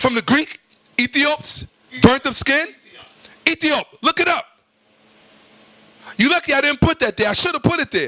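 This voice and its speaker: In a raised, projected voice with an extremely high pitch and an animated tone, a man speaks at a moderate pace with long, frequent pauses. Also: ordinary pitch variation, dry, close sound with no echo. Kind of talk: lecture.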